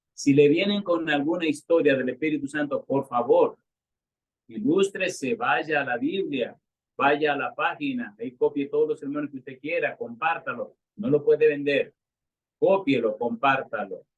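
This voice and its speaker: Lively intonation marks this man's unremarkable speaking voice, pitched fairly high and delivered at a fairly slow pace. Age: 60s. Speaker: retired pastor. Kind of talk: sermon.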